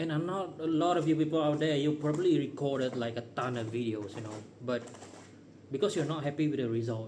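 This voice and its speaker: A man's fairly high, very fast speech with a non-native accent and ordinary pitch variation, amid audible room echo and noticeable background noise. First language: not English. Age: 30s. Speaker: vlogger. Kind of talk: casual monologue. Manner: unscripted, rambling pauses.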